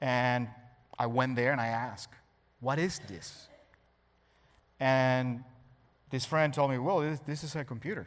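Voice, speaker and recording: Speaking with a Spanish accent, a man uses a medium pitch and fairly even intonation. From Cuba. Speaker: cybersecurity expert. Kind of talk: talk to an audience.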